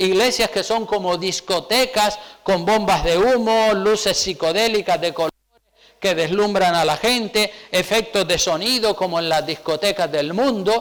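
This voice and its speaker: A man's high voice in a Canarian accent, fairly slow in pace, with ordinary pitch variation and very even loudness. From Canary Islands, Spain. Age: 60s. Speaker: pastor. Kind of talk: sermon.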